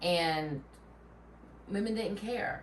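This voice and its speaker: A woman with a Southern US accent talks at a fairly low pitch with lively intonation. Noticeable background noise and audible room echo fill the recording. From Tennessee. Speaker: podcast co-host. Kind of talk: casual chat.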